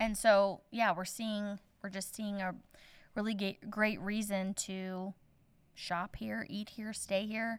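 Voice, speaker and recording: Very slow and monotone, a woman with a Midwestern American accent speaks with a medium pitch and flat intonation. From southern Indiana, then Iowa from teens. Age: 30s. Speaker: small-town florist and shop owner. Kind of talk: interview conversation.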